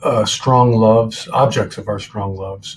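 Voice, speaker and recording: Somewhat breathy man with an American accent at a fairly slow pace. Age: 60s. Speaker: author and former professor. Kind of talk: interview. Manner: hesitant, many fillers.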